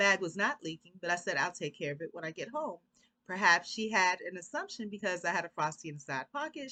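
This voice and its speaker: A woman with a bright, sharp tone speaks very fast at a medium pitch. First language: Korean. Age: 40s. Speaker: YouTuber. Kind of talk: reading aloud.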